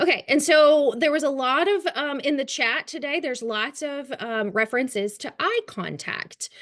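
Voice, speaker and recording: A woman speaks with a Kentucky accent at a high pitch. Her pace is moderate, with hardly any pauses. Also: lively intonation. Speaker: trauma-informed care trainer. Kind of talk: webinar training lecture. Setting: online webinar.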